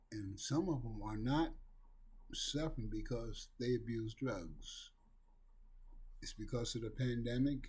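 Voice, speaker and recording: A man's somewhat breathy voice at medium pitch, dark and mellow in tone, fairly slow, with audible room echo. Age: 60s. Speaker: recovery talk video host. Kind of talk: monologue on addiction recovery. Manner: earnest, emphatic.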